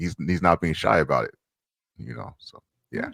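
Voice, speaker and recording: Speaking at a moderate pace, a man with an American accent has a very deep, low pitch, and the sound is dry and close with no echo. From USA. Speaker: street photographer and streamer. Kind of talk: interview. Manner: halting, many fillers.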